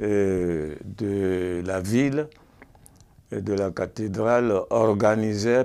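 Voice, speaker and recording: Pitched fairly low, the man speaks with ordinary pitch variation. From Benin, Porto-Novo. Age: 70s. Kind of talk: testimony interview.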